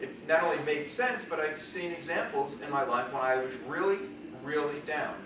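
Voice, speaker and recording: A man talks amid noticeable background noise, and room echo is audible. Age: 60s. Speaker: toastmasters club speaker. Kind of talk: impromptu speech.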